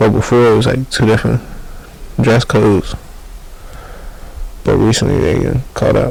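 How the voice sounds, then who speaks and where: With long, frequent pauses, a man in an American accent talks at a moderate pace and very even loudness, with noticeable background noise behind him. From DMV area (Maryland/DC). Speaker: rapper. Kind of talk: casual interview chat. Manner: soft-spoken, does not project.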